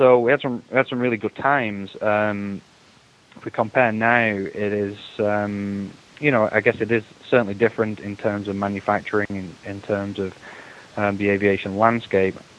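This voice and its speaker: A man talks with an English accent at a fairly low pitch and fairly even intonation. Noticeable background noise runs underneath. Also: moderate pace. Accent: English accent, audible. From England. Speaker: aviation association executive. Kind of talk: interview.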